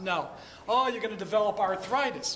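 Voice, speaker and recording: Speaking with an American accent, a man talks at a fairly quick pace in a high pitch with ordinary pitch variation. Room echo is audible and background noise is noticeable. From Michigan, Detroit area. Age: 50s. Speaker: chiropractor. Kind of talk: talk to a networking group. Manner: animated.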